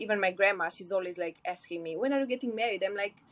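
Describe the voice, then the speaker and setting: A woman with a Romanian accent speaks in fairly even intonation. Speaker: podcast guest, polyamory podcaster. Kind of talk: casual interview conversation.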